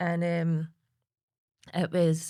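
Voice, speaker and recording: A woman with a Lanarkshire accent speaks at a fairly low pitch, recorded very cleanly against a silent background. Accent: Scottish (Lanarkshire). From Lanarkshire, Scotland. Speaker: suicide-bereaved partner and campaigner. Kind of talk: podcast interview answer.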